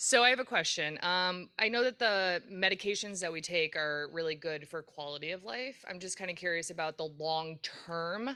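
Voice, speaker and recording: A loud woman speaks with a bright, sharp tone. Her pitch sits fairly low. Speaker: patient asking questions. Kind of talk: audience question at panel.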